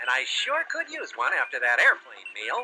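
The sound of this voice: In a cartoonish character voice, a man speaks at a medium pitch and moderate pace with a bright, sharp tone and very wide pitch swings over faint background noise.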